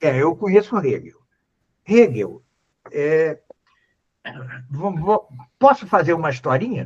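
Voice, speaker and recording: With long, frequent pauses, a man speaks at a very slow pace in a high pitch and very wide pitch swings. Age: 70s. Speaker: philosophy professor. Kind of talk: lecture-style Q&A on a live stream. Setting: live stream. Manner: halting, many fillers.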